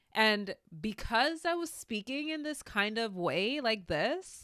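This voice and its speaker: In a put-on character voice, a female-sounding speaker talks nasally at a fairly high pitch and a fairly slow pace. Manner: demonstrating his old voice.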